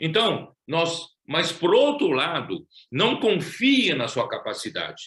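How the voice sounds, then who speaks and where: Very slow and full of very wide pitch swings, a man's voice carries a bright, sharp tone. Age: 70s. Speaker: preacher. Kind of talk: sermon. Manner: halting.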